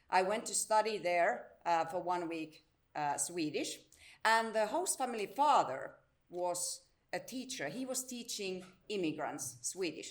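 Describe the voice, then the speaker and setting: Speaking fairly slowly with a Finnish accent, a woman at medium pitch makes very wide pitch swings. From Finland, Salo area (southwest). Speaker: integration service director and teacher. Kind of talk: conference presentation.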